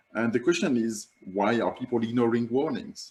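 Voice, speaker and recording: At a moderate pace, a man with a French accent talks in a medium pitch. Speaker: climate campaigner. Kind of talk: online summit presentation. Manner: halting.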